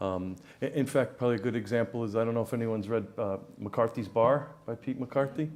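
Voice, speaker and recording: An American-accented man speaks fairly quickly at medium pitch with ordinary pitch variation. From New York, the Bronx. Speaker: business consultant. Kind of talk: interview. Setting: stage with audience. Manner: halting, many fillers.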